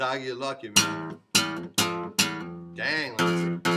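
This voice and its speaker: Over clear music in the background, a man speaks at a fairly slow pace. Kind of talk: casual vlog chat, then improvised song. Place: classroom. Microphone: webcam.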